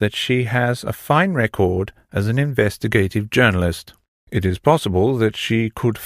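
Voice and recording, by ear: Someone reads aloud in a natural voice. Behind them, the background stays quiet.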